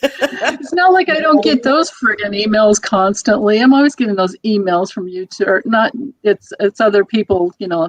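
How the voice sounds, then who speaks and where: At a moderate pace, a woman speaks in a fairly high pitch with very wide pitch swings, the sound dry and close with no echo. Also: hardly any pauses. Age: 60s. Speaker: tarot reader livestream panelist. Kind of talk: casual chat. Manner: halting.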